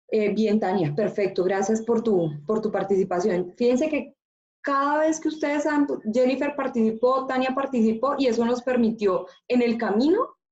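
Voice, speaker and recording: A normal speaking voice from a woman, fairly high in pitch, with lively intonation, a moderate pace and very even loudness. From Colombia, Antioquia (paisa region). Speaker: university teacher. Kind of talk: online class discussion.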